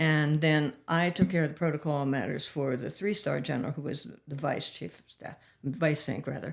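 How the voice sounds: With vocal fry and fairly even intonation, a woman speaks low in pitch at a moderate pace.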